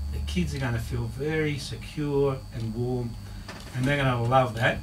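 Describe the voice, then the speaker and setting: Noticeable background noise runs under this recording. A man in an Australian accent speaks at a moderate pace. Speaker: marriage counsellor. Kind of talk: radio interview answer.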